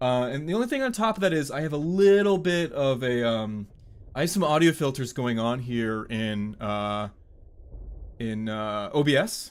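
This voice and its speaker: An American-accented man with a normal speaking voice talks at medium pitch and a moderate pace, his intonation lively. The recording is very clean, with a silent background. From US. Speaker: game streamer. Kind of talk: live game stream commentary. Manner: casual, filler-heavy. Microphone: good mic with ducking and compression filters.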